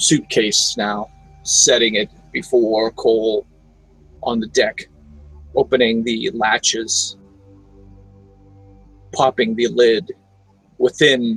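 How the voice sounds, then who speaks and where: Over faint music in the background, a man uses a put-on character voice at a medium pitch, speaking at a very slow pace with long, frequent pauses. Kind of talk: dark gothic story narration. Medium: solo performance. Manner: slow, halting, with filler pauses.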